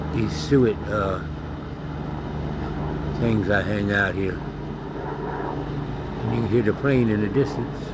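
A man's voice amid loud background noise. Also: dry sound with no echo. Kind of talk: casual narration of wildlife. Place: garden. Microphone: phone near.

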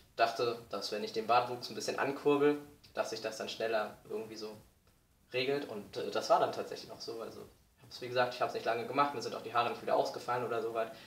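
A man talks at a very fast pace, with light background noise and audible room echo. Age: 20s. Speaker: vlogger. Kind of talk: video diary. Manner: hesitant, many fillers. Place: home room. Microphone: webcam.

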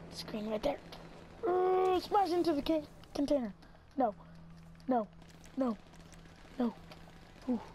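A woman with a high voice speaks at a fairly slow pace, her tone animated and her pitch swinging very widely. Long, frequent pauses break up her speech, and background noise is noticeable. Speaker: gaming YouTuber. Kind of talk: angry gaming rant during online match. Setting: gameplay commentary recorded at home. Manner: loud, exasperated, sputtering with frustration; excitable, animated, shouting.

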